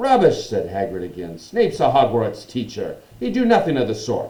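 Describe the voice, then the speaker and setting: A man puts on a gruff character voice and speaks at a moderate pace. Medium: read story.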